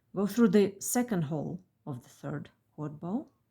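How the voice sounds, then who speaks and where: With a dark, mellow tone, a woman speaks somewhat breathily at a fairly slow pace, using lively intonation. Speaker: beadwork designer and tutorial maker. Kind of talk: tutorial.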